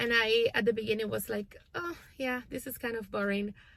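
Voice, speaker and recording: A woman's fairly high voice, fairly even in intonation, with a non-native accent. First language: not English. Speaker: homeschooling parent and channel host. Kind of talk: casual vlog update. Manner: hesitant, many fillers.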